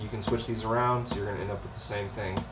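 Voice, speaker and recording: A man speaks at a fairly low pitch in a flat monotone. Noticeable background noise and audible room echo surround his voice. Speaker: math instructor. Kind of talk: lecture. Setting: recorded video lesson.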